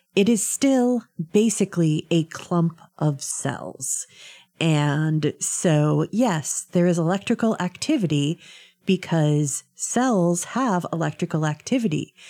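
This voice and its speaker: A woman's dark, mellow voice, fairly low in pitch with lively intonation and very even loudness, at a very slow pace, dry and close with no echo, on a very clean recording with a silent background. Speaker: radio panelist. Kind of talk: casual political discussion. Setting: radio studio. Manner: joking, wry.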